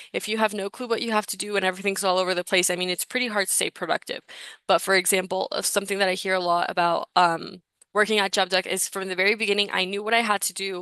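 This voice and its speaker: Speaking at a very fast pace, a woman with a medium pitch and a bright, sharp tone keeps a flat, monotone delivery, the sound dry and close with no echo against a quiet background. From Mexico. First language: Spanish. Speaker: recruitment session host. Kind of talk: live webinar presentation. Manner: casual, filler-heavy.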